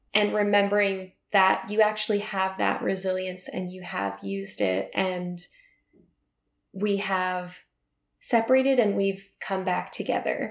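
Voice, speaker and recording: A woman speaks at a fairly slow pace. Her pitch is medium, and her intonation is monotone and flat. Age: 30s. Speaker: podcast host. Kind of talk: casual chat.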